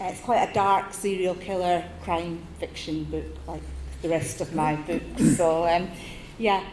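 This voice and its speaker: With audible room echo and noticeable background noise, a woman speaks in a Scottish accent at a fairly slow pace. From Scotland. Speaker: crime novelist. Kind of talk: panel discussion.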